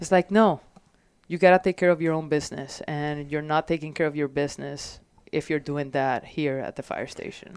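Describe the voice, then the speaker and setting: A woman with a Puerto Rican accent speaks at a very deep, low pitch. Her pace is moderate and her intonation fairly even. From Puerto Rico. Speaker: firefighter, captain and mentor. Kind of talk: casual interview chat.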